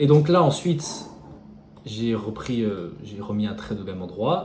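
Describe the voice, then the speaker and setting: A man mumbles at a fairly slow pace in a fairly low pitch, his pitch swinging very widely and his loudness rising and falling sharply, with audible room echo and noticeable background noise. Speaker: day trader. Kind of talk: tutorial. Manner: mumbling.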